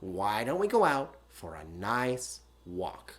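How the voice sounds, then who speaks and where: Fairly low-pitched, fairly slow speech from a man doing a put-on character voice. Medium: read story. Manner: gentle.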